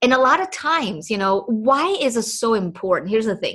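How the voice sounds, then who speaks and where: A woman with a Chinese accent, fairly high pitch, very wide pitch swings and a bright, sharp tone. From Taiwan (Taipei). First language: Mandarin Chinese. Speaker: podcast host, entrepreneur coach. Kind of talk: motivational monologue. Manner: animated.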